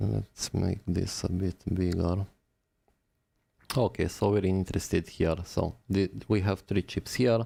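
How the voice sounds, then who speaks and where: With a non-native accent, the speaker talks at a fairly slow pace in a dark, mellow tone with vocal fry, fairly even intonation, and very even loudness. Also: man, very deep, low pitch for a man, very clean recording, silent background. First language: not English. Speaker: phone repair technician. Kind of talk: live-stream tutorial. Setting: live stream.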